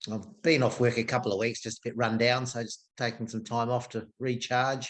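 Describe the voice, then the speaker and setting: A man in an Australian accent, medium pitch, monotone, flat intonation and a moderate pace. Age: 60s. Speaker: golf club food and beverage worker. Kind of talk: casual chat.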